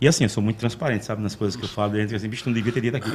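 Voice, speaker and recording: A man is speaking. His pitch is medium. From Arapiraca, Alagoas, Brazil. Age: 40s. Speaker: street loudspeaker announcer. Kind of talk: casual interview. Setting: studio.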